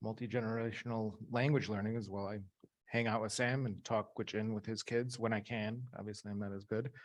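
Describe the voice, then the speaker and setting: Against a quiet background, a man with an American accent speaks at a fairly low pitch with fairly even intonation. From Chicago. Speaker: language researcher. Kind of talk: workshop presentation.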